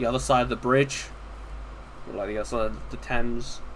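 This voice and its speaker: This is a man speaking. He has a southern English accent. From southeast England, Kent. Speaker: livestreamer, modder. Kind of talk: casual livestream chat. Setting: live stream. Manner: halting.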